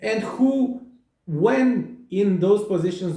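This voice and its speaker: A man's animated, high-pitched voice with a Romanian accent, in audible room echo. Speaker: psychotherapist. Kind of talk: monologue. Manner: halting.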